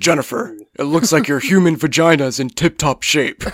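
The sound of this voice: Putting on a character voice, a man talks at a fairly quick pace with a fairly high pitch.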